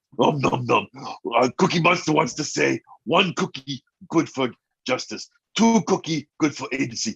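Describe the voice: Putting on a gravelly character voice, a man speaks at a moderate pace in a fairly high pitch.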